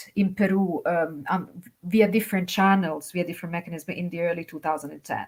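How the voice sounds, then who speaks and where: Against a silent background in a very clean recording, a woman speaks at a fairly quick pace with big swings in loudness. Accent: Italian. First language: Italian. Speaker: academic China specialist, poster judge. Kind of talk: conference feedback remarks. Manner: halting, many fillers.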